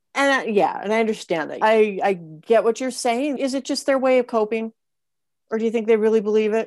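At a fairly quick pace, a woman with an ordinary speaking voice talks at a fairly high pitch with ordinary pitch variation on a very clean recording with a silent background. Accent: American. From Montana. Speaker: podcast host. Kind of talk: interview.

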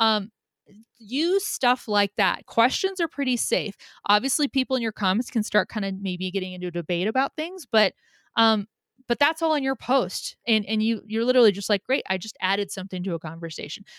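A normal speaking voice moves at a fairly quick pace with lively intonation. The recording is very clean with a silent background, dry and close with no echo. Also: woman, fairly high pitch for a woman. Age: 40s. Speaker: social media marketer. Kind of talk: casual interview.

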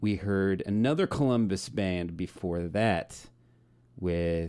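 Very slowly and at a very deep, low pitch, a man speaks in a dark, mellow tone on a very clean recording with a silent background. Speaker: radio host. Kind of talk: radio DJ patter. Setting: radio studio. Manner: relaxed, chatty, upbeat.

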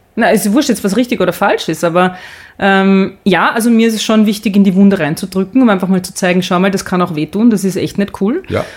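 Very fast, somewhat breathy speech. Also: woman, medium pitch for a woman, ordinary pitch variation. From Austria. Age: 40s. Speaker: sports presenter and podcaster. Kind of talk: casual interview. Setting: photo studio.

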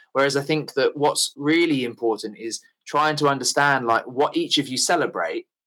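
With an English accent, a man speaks at a moderate pace in a fairly high pitch, his tone bright and sharp and his pitch variation ordinary. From England. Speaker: bike traveller. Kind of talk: casual chat. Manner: halting.

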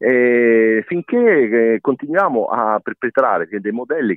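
A man speaking at a medium pitch. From Rome (half Roman). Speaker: president of a cultural association. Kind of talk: interview. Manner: halting, many fillers and restarts.

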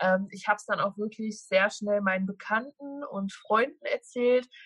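An unremarkable speaking voice at a moderate pace. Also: woman. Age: 20s. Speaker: social media food influencer. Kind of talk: interview.

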